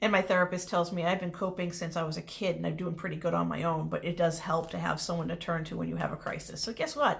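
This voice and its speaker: A woman races along at a very fast pace with hardly any pauses over noticeable background noise. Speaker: small business owner and online creator. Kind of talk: casual self-introduction video. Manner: loud; rambling stream of consciousness.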